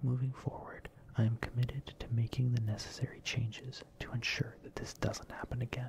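Whispering at a moderate pace, the speaker gets through each line. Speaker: content creator. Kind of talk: apology video monologue. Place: home room. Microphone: studio mic.

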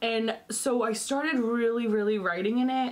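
A loud woman's voice with noticeable background noise. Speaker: lifestyle YouTuber. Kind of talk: casual vlog talk to camera. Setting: home.

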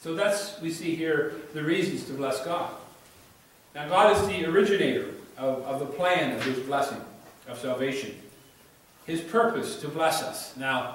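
A man talks at a moderate pace. Strong echo fills the room around him. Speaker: preacher. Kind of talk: sermon. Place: church.

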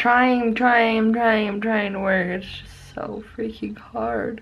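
A woman's tired, tearful voice at a very slow pace, with fairly even intonation. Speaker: vlogger. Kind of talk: casual vlog chat. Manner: tired, near-tearful sick voice. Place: home room. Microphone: phone near.

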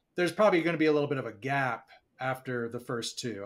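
Rattling along at a very fast pace, a man talks with an American accent. His pitch is medium, with ordinary variation. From Boston area. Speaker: podcast co-host. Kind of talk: casual chat.

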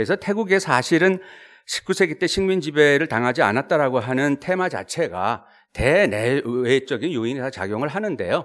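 His pitch swinging very widely, a man talks at a moderate pace and a fairly high pitch over a quiet background. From South Korea. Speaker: professor. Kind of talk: academic presentation. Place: meeting room. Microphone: podium.

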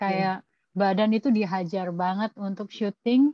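A woman at a fairly slow pace with fairly even intonation, in a dry sound with no echo over a quiet background. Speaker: podcast guest. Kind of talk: interview answer. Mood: reflective, candid. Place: home room. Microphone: video call.

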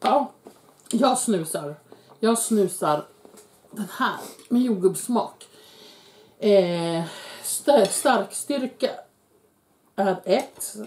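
A woman speaks at a very slow pace with lively intonation and long, frequent pauses. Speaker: YouTuber, mother eating with her son on camera; YouTuber. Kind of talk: casual mukbang chat. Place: kitchen. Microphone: camera far.

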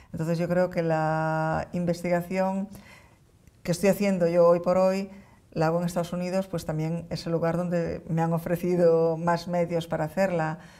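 In a Galician accent, this voice has a dark, mellow tone and a flat, monotone delivery. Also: woman, fairly low pitch for a woman, moderate pace. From Galicia, A Coruña. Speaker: neuroscientist; guest. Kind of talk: interview. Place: studio. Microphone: lapel.

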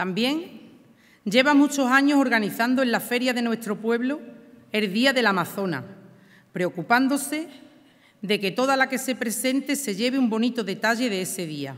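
Against a quiet background, a woman with a high pitch talks at a moderate pace with ordinary pitch variation. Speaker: presenter of the pregonera. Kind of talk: formal ceremonial speech. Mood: warm, nostalgic. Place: stage. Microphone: podium.

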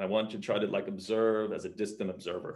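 A man with a New York accent and a fairly low pitch, over a quiet background. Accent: New York American English. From US Northeast, New York. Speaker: mezcal brand founder. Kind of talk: casual interview. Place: home room. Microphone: video call.

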